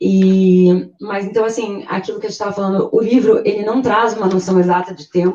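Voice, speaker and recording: A woman at a medium pitch, moderate pace and fairly even intonation. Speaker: literature discussant. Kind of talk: group discussion. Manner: hesitant, many repetitions.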